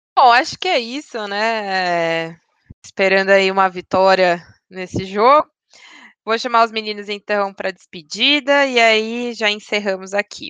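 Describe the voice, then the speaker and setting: In a bright, sharp tone, a woman speaks fairly slowly at medium pitch with ordinary pitch variation, the sound dry and close with no echo over a quiet background. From São Paulo, Brazil. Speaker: podcast host. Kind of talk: casual chat.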